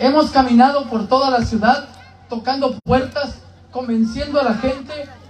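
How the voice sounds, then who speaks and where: Against crowd noise in the background, a man talks with an extremely high pitch and monotone, flat intonation. His pace is fairly slow, with long, frequent pauses. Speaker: local party representative. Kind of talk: campaign rally speech. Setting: outdoor rally with crowd. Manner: emphatic, oratorical.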